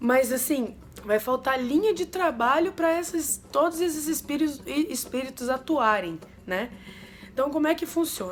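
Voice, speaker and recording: With lively intonation, this voice proceeds at a moderate pace. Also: woman, high pitch for a woman. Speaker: umbanda religious youtuber. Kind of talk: casual explanatory vlog.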